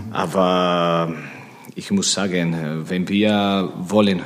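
Very slow speech in a Spanish accent, with fairly even intonation and audible room echo. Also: man. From Spain. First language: Spanish (speaking German). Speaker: handball coach. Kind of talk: interview. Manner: halting.

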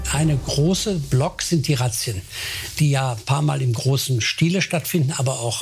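Lively intonation marks this man's fairly high voice, heard over noticeable background noise. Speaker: state interior minister, politician. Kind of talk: interview statement. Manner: calm.

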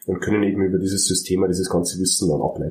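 A man with a Bavarian accent talks at a very fast pace amid noticeable background noise and audible room echo. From Bavaria, Germany. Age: 30s. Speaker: dental clinic manager and software entrepreneur. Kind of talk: interview.

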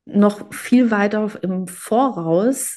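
A woman speaks with lively intonation and a dark, mellow tone. The background is quiet. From Germany, Greek family. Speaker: photographer and cookbook author. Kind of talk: interview.

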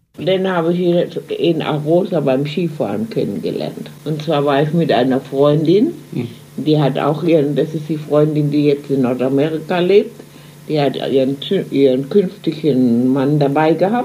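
Against noticeable background noise, a woman speaks with a very deep, low pitch. Her pace is fairly slow and her pitch variation ordinary. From Germany, Mannheim. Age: 90s. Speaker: emigrant eyewitness. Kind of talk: interview. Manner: halting.

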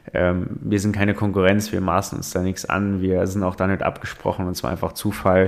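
The speech runs on with hardly any pauses. Its intonation is fairly even. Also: man, very deep, low pitch for a man, moderate pace. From Saarland, Germany. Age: 20s. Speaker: state politician and podcast co-host. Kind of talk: casual chat.

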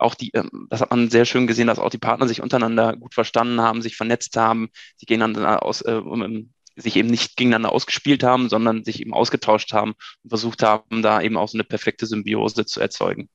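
Very fast speech from a man in a flat monotone. The sound is dry and close with no echo. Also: medium pitch for a man. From Germany, Münsterland (Ahaus). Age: 30s. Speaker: PR manager. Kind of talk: casual interview.

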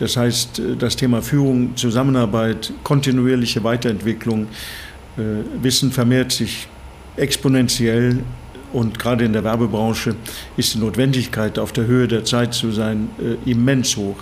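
Amid noticeable background noise, a man with a medium pitch speaks in a monotone, flat way at a moderate pace, with long, frequent pauses. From Norway, Bergen. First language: Norwegian (speaking German). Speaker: management consultant. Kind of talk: interview.

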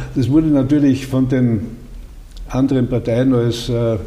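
The voice is somewhat breathy, with a dark, mellow tone. It moves at a fairly slow pace in a monotone, flat intonation. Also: man. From Austria, Styria (Judenburg). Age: 80s+. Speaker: retired politician, former minister. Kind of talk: interview. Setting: office in the state parliament building.

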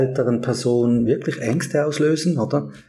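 The voice has a dark, mellow tone, somewhat breathy, with fairly even intonation at a moderate pace. Audible room echo surrounds it. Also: man. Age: 50s. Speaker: work psychologist. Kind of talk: podcast interview.

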